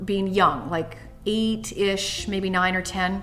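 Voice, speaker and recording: A woman talks at a moderate pace in a space with audible room echo. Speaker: tapping and money mindset coach. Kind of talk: casual talk then guided tapping meditation.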